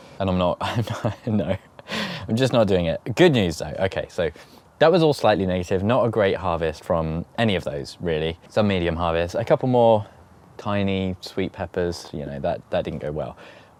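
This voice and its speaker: A man with a British accent and a very deep, low pitch, lively intonation at a moderate pace, on a very clean recording with a silent background. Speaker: allotment gardening vlogger. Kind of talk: casual vlog talk to camera. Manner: halting, stuttering.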